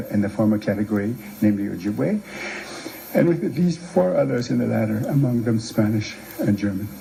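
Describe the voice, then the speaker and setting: A man with a Canadian accent, medium-pitched, at a very fast pace with lively intonation, over noticeable background noise. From Manitoba, Canada. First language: Cree. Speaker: playwright and author. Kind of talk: lecture.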